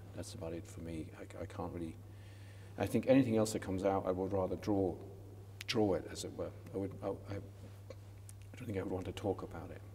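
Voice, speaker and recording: Talking at a fairly quick pace in a flat monotone, a man with a fairly low-pitched voice is heard against audible room echo. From west coast of Ireland. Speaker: sculptor. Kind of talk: interview. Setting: college chapel. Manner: halting, many repetitions.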